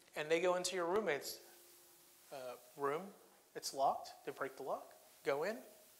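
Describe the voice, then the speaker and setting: A high-pitched man talks at a fairly quick pace, with ordinary pitch variation. He leaves long, frequent pauses, and room echo is audible. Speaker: judge. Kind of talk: lecture. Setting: courtroom with audience.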